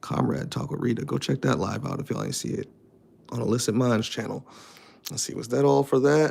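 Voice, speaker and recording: A man delivers his words at a fairly quick pace, with noticeable background noise in the mix. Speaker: streamer reading chat. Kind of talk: casual live stream chat. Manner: switches between formal and slang speech.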